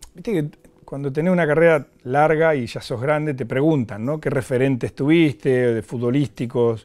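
The speech keeps a moderate pace and ordinary pitch variation over a quiet background. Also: man, fairly high pitch for a man. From Argentina, Mar del Plata; Argentina. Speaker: former footballer; guest. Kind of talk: interview. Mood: calm, reflective storytelling. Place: studio. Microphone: lapel.

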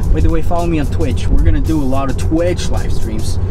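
A man speaks at a fairly quick pace over clear music in the background. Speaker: social media vlogger. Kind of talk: casual vlog chat. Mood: playful, joking. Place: car. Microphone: camera far.

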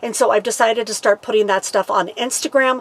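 A woman speaks at a moderate pace, keeping her intonation fairly even. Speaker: RV lifestyle vlogger. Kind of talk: casual vlog chat. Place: home room.

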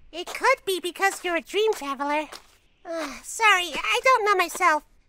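At a moderate pace, a put-on character voice squeaks at an extremely high pitch. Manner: earnest, apologetic.

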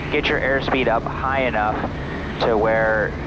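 Loud noise fills the background as a man talks. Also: dry sound with no echo. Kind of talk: casual vlog chat. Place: plane. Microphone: headset.

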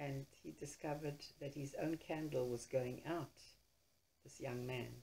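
A woman with a very deep, low pitch and a somewhat breathy, dark, mellow tone speaks fairly slowly in a monotone, flat intonation, her loudness swinging widely. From Poland. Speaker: writer, storyteller, holocaust survivor. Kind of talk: interview answer.

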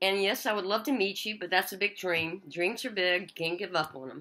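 Against a quiet background, a woman with a medium pitch has a bright, sharp tone. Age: old. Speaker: former police officer. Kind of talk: casual talk to camera. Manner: upbeat. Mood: warm, hopeful, pleading. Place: kitchen. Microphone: webcam.

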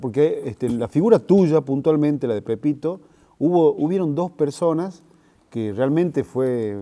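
With a dark, mellow tone and lively intonation, the voice moves at a fairly slow pace over a quiet background. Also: man. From Argentina. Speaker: interviewer. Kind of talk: interview. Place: hall. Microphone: lapel.

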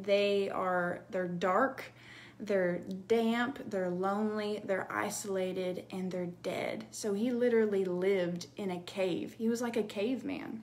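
With ordinary pitch variation, a woman speaks at a fairly slow pace. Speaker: bible teacher. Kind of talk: devotional teaching. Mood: earnest, emotional. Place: home room. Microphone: phone near.

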